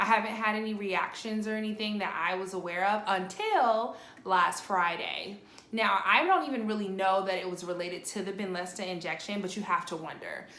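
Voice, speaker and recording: At a fairly quick pace, a woman with medium pitch and fairly even intonation is heard through audible room echo and noticeable background noise. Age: 30s. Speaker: vlogger with lupus. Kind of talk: personal video update. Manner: casual, filler-heavy.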